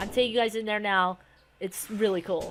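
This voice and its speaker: Over noticeable background noise, a woman talks in a monotone, flat way. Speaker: gaming video creator. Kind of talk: gameplay tutorial.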